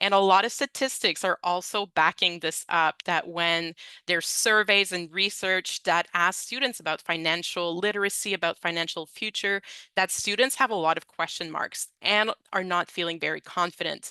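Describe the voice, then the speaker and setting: A woman with a non-native accent talks at a moderate pace in a fairly low pitch, with ordinary pitch variation and a bright, sharp tone. The sound is dry and close with no echo, and the background is quiet. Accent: Francophone. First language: French. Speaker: education consultant presenter. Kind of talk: webinar presentation. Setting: online webinar. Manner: conversational, with fillers.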